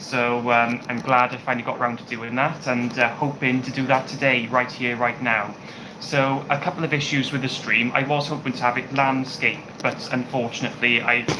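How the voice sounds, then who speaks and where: A man with a British accent speaks at a moderate pace in a monotone, flat intonation. Noticeable background noise is present. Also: medium pitch for a man. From UK. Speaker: YouTuber. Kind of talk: live stream Q&A chat. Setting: home kitchen. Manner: hesitant, many fillers.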